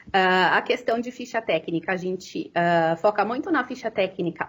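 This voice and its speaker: Recorded very cleanly against a silent background, a woman speaks at medium pitch with ordinary pitch variation and a moderate pace. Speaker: nutritionist and business consultant. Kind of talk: lecture. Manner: halting, many fillers.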